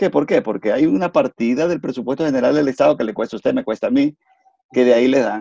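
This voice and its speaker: A man's very fast delivery in a dark, mellow tone, with ordinary pitch variation and a dry, close sound free of echo. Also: medium pitch for a man. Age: 60s. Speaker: engineer and political commentator. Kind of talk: interview.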